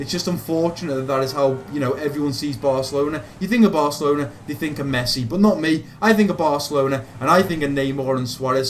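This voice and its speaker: A man in a Liverpool accent talks very fast at a fairly high pitch, with ordinary pitch variation and hardly any pauses. Noticeable background noise and audible room echo fill the recording. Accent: Liverpool (Scouse). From Liverpool, England. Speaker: gaming youtuber. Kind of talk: casual Q&A monologue.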